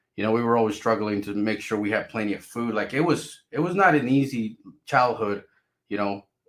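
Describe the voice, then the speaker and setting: At a fairly quick pace, a man of medium pitch speaks with a Spanish accent. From Mexico, raised in US (California) from age five. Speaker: crypto YouTuber. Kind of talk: casual vlog monologue. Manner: repetitive, stammering restarts.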